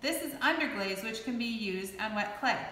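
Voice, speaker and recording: A woman uses a raised, projected voice. Audible room echo surrounds her. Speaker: clay art instructor. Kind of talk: tutorial. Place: workshop. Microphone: camera far.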